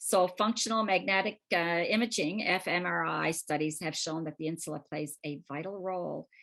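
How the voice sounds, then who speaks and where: A woman's normal speaking voice, fairly low in pitch, with ordinary pitch variation, a moderate pace and a quiet background. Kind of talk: lecture.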